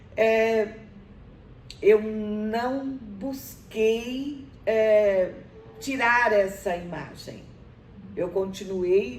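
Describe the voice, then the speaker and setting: A woman's fairly high-pitched voice with ordinary pitch variation and long, frequent pauses, plus audible room echo and noticeable background noise. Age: 70s. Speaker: university professor. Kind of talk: interview. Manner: halting, many fillers.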